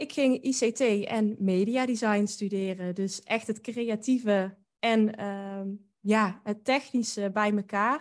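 A woman with a fairly high voice speaks very slowly. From Netherlands, North Brabant (Drunen near Den Bosch). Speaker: podcast host and boudoir photographer. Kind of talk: interview.

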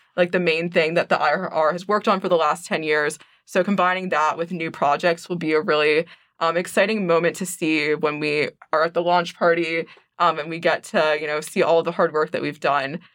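Here is a normal speaking voice, moving fairly quickly. Its intonation is fairly even. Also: woman. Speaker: university student, journal co-editor. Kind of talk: interview. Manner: many filler words (um, like).

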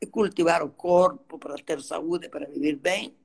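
Her pitch is fairly low, and she talks at a moderate pace. This woman's pitch swings very widely. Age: 80s+. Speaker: dance therapy teacher. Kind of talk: interview. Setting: Instagram live.

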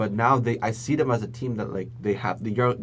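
This man has a plain, everyday voice at medium pitch. He speaks at a fairly quick pace with fairly even intonation. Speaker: podcast co-host, journalism student. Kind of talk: casual chat.

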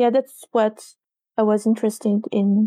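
With a French accent, a woman speaks in a fairly high pitch and dark, mellow tone, the sound dry and close with no echo. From France, Paris suburbs. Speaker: games journalist and author. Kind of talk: interview. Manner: halting.

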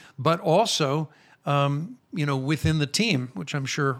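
This man has a fairly high pitch and an American accent. The recording is very clean, with a silent background. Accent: American, retained. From Chicago, US. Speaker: rabbi, ministry founder. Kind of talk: interview conversation.

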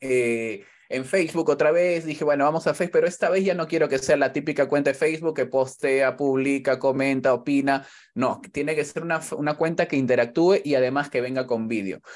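A normal speaking voice from a man, fairly high-pitched with ordinary pitch variation and a fairly quick pace. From Peru, Callao. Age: 30s. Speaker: youtuber and football commentator. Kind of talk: casual interview.

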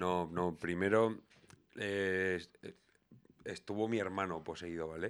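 In a very deep, low register, a man talks with fairly even intonation. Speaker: podcast host. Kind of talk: casual chat.

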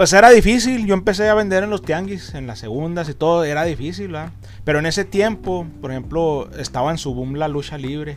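A man's fairly high-pitched voice at a moderate pace, with lively intonation, big swings in loudness and music in the background. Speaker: comic and collectibles shop owner. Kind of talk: casual interview.

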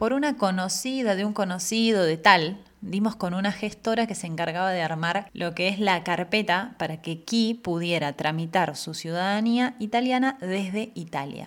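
Over a very clean, silent background, a woman with a Rioplatense accent speaks at a medium pitch and moderate pace with ordinary pitch variation and hardly any pauses. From Argentina. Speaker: podcast host. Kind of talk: personal monologue.

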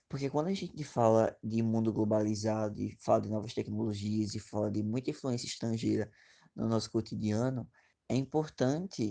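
Over a quiet background, a man with a dark, mellow tone speaks at a fairly quick pace with ordinary pitch variation. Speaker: former exchange student. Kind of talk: interview.

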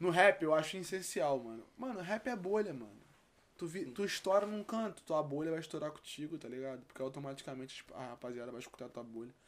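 With a plain, everyday voice, a man speaks at a fairly high pitch and a fairly quick pace, his intonation lively and his loudness swinging widely. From Rio de Janeiro, West Zone (Campo Grande). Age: 20s. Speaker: rapper. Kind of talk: casual chat.

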